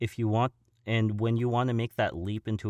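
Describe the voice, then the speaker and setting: Recorded dry and close with no echo, a man speaks in a fairly low pitch with a Californian accent. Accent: General American (Californian). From Southern California (Simi Valley). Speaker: voice actor and stuntman. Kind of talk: interview conversation. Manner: halting, many fillers and restarts.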